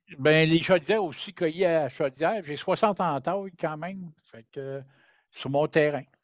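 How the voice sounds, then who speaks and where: A man speaks at a fairly slow pace in a Quebec accent, with big swings in loudness. The recording is very clean with a silent background and a dry, close sound with no echo. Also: fairly high pitch for a man, ordinary pitch variation. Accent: Québécois French. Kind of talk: casual chat.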